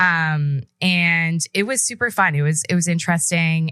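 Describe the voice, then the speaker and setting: A woman speaks with a fairly low pitch. Her tone is bright and sharp. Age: 20s. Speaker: podcast host. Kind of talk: casual monologue. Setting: studio.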